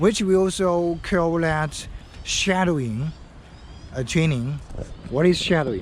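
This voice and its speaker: A man's high-pitched voice at a fairly slow pace, with long, frequent pauses, ordinary pitch variation, very even loudness and audible room echo. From China (Henan Province). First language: Chinese. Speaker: English learning vlogger. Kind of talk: tutorial. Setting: outdoors. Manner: halting.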